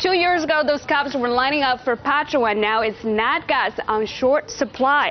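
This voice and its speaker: Through noticeable background noise, a woman speaks at a moderate pace in a high pitch with ordinary pitch variation. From southern China. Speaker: news reporter. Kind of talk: news report.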